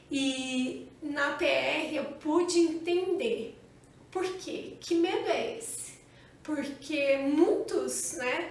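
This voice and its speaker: Amid audible room echo, a woman with a high pitch speaks with lively intonation. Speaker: channel co-host. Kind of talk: casual chat.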